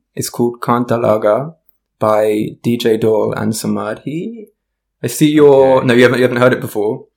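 Fairly even intonation carries the talk along at a fairly quick pace. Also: man, medium pitch for a man. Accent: South London. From South London, England. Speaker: musician, singer, songwriter, DJ. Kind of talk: casual chat, podcast conversation.

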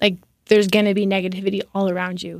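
A woman talks at a fairly quick pace in a plain, everyday voice. The recording is very clean, with a silent background. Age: 30s. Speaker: state politician and sports referee. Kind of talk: casual interview.

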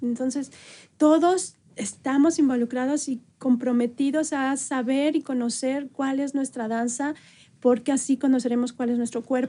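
A woman's high-pitched voice, dark and mellow in tone, with fairly even intonation at a fairly slow pace. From northern Mexico, Chihuahua. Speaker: dancer and dance company director. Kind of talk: interview.

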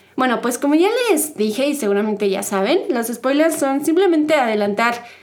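With lively intonation, the woman keeps to a moderate pace. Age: 20s. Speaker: podcast host. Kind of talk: casual chat.

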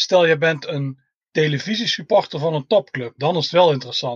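A somewhat breathy man at a moderate pace, dry and close with no echo. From Tilburg, southern Netherlands. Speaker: football fan, groundhopper. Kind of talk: casual chat.

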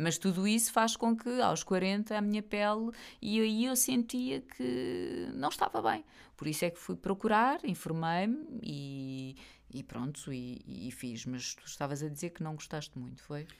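In a European Portuguese accent, a woman speaks at a fairly slow pace with very wide pitch swings, on a very clean recording with a silent background. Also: fairly low pitch for a woman, big swings in loudness. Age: 40s. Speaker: podcast host. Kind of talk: casual chat. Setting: home office studio.

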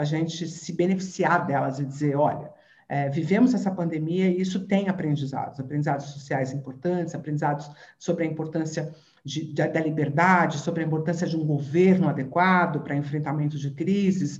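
Amid audible room echo, a woman speaks at a very deep, low pitch, somewhat breathy, at a fairly quick pace with fairly even intonation. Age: 50s. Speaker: neuroscientist and professor. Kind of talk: interview.

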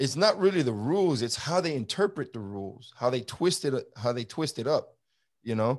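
With a New York accent, a man speaks at a moderate pace in an animated tone. His pitch swings very widely against a quiet background. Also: medium pitch for a man. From Brooklyn, New York. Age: 50s. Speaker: former border patrol agent. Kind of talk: interview.

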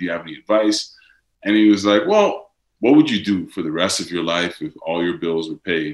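A man talks fairly quickly, his pitch varying in an ordinary way. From Netherlands. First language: Dutch. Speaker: actor and model. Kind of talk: interview conversation.

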